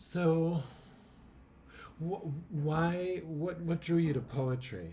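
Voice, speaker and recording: A man's fairly high voice in a dark, mellow tone with ordinary pitch variation, at a very slow pace amid audible room echo. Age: 50s. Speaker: poet and podcast host. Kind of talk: casual interview chat. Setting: church.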